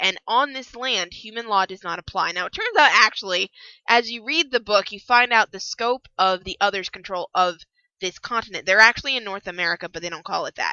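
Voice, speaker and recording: Speaking at a fairly quick pace, a woman with a plain, everyday voice and a fairly high pitch shows big swings in loudness. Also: ordinary pitch variation. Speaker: book reviewer. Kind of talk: casual book review talk. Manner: casual, chatty.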